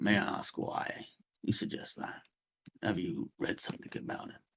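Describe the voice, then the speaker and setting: Put-on character voice from a man, raspy and at a moderate pace. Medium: actual play. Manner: earnest, measured.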